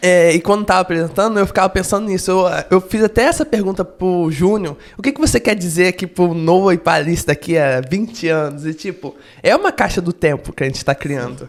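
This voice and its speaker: Moving at a fairly quick pace, a man speaks in a high pitch with ordinary pitch variation. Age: young. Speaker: podcast host interviewed as guest. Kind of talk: casual interview. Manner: fast.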